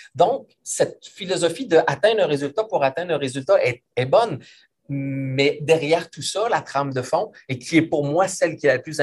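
A man speaks with a Quebec accent and lively intonation. His pace is moderate. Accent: Québécois French. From Quebec City region, Canada. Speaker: business consultant and author. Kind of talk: interview.

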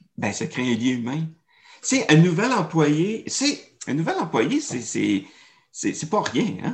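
The voice moves at a very slow pace, with vocal fry and very wide pitch swings. Long pauses come often. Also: man, fairly high pitch for a man. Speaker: storytelling and marketing consultant. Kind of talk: interview. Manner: animated.

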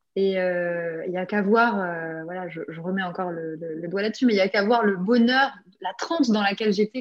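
A woman speaks at medium pitch and a moderate pace. Her intonation is lively. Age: 30s. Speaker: artist and decorator sharing her healing story. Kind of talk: testimony. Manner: halting, many repetitions and fillers.

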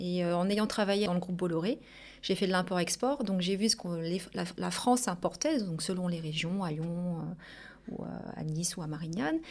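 In a very clean recording with a silent background, a woman with an unremarkable speaking voice talks at a moderate pace, medium pitch, and ordinary pitch variation. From Paris region, Portuguese family. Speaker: business owner. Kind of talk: interview.

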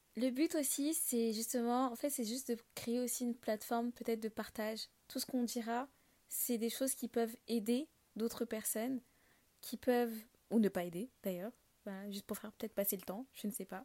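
A woman speaks at a moderate pace with a fairly high pitch. Her tone is dark and mellow, with a dry, close sound and no echo. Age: 20s. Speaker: podcast host. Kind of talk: solo casual monologue. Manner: hesitant, many fillers.

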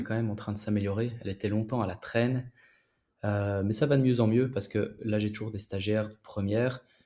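A man's dark, mellow, fairly low-pitched voice, monotone and flat, at a fairly quick pace on a very clean recording with a silent background. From Belgium. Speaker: physiotherapist. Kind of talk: casual interview.

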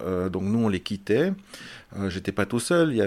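A fairly low-pitched man with lively intonation. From Belgium. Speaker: film director. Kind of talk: interview. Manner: halting, many repetitions and fillers.

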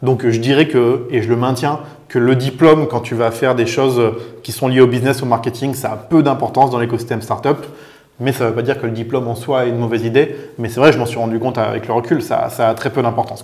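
Very fast male speech, monotone and flat in intonation. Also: medium pitch for a man. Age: 30s. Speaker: business executive. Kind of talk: interview.

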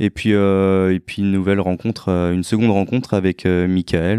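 At a moderate pace, the voice has a dark, mellow tone and a dry, close sound with no echo over a quiet background. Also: man. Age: 30s. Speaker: police officer. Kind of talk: testimony. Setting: chiropractor's office. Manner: hesitant.

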